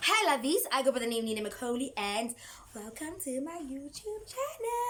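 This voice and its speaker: Over noticeable background noise, a woman with a high voice talks at a moderate pace in an animated tone, her pitch swinging very widely. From South Africa. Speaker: YouTuber. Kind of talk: storytime vlog.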